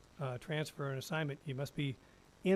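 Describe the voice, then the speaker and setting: Somewhat breathy and fairly high in pitch, a man talks at a very fast pace with fairly even intonation. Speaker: school district attorney. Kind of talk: policy presentation at board meeting. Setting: school board meeting. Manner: halting, many fillers.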